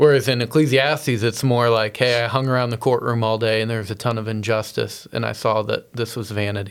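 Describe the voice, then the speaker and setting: In an ordinary speaking voice, a medium-pitched man talks at a fairly quick pace with hardly any pauses and fairly even intonation on a very clean recording with a silent background. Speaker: church podcast co-host. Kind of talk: casual chat.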